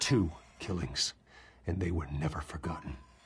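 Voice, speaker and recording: Putting on a character voice, a man speaks at a moderate pace with a very deep, low pitch and ordinary pitch variation. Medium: video game. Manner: restrained, grave.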